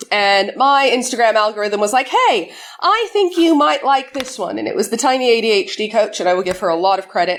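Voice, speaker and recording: A woman uses a normal speaking voice at a moderate pace. Her intonation is lively. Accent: American. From United States. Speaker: conference speaker, cyber security community organizer. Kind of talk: conference talk.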